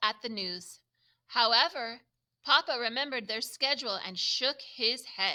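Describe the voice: Plain reading aloud against a quiet background.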